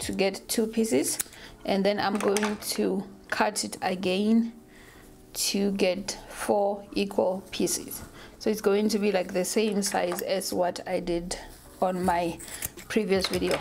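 Over noticeable background noise, a woman speaks at a very slow pace with fairly even intonation. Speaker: hair vlogger. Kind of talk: tutorial.

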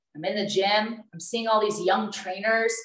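Speech at a moderate pace carries audible room echo over a quiet background. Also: woman. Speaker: fitness trainer. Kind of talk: casual Q&A talk. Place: kitchen. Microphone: video call.

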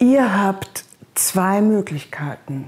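Her voice sits at a medium pitch with a slightly mellow tone.

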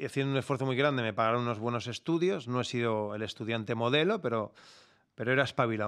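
Over a quiet background, a man talks at a very fast pace in a medium pitch with ordinary pitch variation. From Barcelona, Spain; Spain. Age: 50s. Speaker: security company founder; podcast guest. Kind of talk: interview conversation; interview answer. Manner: animated. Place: studio. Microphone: studio mic.

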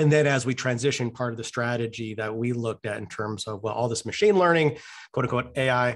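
Over a quiet background, a man talks at a very fast pace with ordinary pitch variation. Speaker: guest lecturer. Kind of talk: lecture. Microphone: video call.

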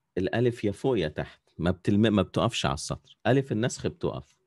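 Against a quiet background, a man with an Egyptian accent speaks at a moderate pace and fairly low pitch with lively intonation. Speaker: calligraphy teacher. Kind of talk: online class tutorial. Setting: video call.

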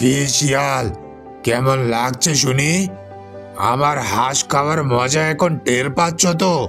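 A man's cartoonish character voice at a medium pitch, fairly slow pace, with clear music in the background. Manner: gruff, angry.

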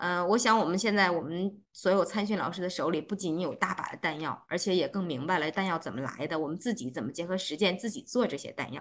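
Speaking very fast with hardly any pauses, a woman uses fairly low pitch and lively intonation. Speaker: organizer host. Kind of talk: closing remarks. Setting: video call. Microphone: video call.

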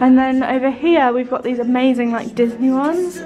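A woman talks in a high voice at a moderate pace, with ordinary pitch variation. Clear music plays in the background. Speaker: travel vlogger. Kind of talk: casual vlog chat. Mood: excited, cheerful. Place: hall. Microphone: phone near.

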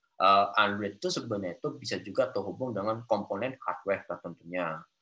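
A man speaks at a fairly quick pace with a fairly low pitch and a bright, sharp tone. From Central Java, Solo area; Central Java. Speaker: Android developer; guest. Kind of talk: interview. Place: home room. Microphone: video call.

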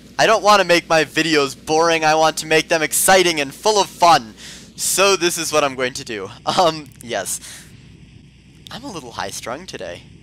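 A man with a fairly high pitch and a bright, sharp tone talks at a moderate pace, his loudness swinging widely. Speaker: gaming YouTuber. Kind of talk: gameplay commentary. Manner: put-on voice.

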